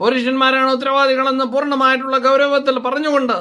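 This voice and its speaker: A man speaks in a raised, projected voice at an extremely high pitch. His tone is bright and sharp. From Kerala, Kottarakkara (Kollam). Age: 60s. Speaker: doctor and video blogger. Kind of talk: opinion monologue. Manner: halting.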